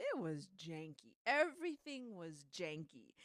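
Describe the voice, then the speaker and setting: Her pitch swinging very widely, a woman speaks in an animated tone with dry, close sound and no echo. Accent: American. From Southern California, Torrance. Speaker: podcast co-host. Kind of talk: casual chat.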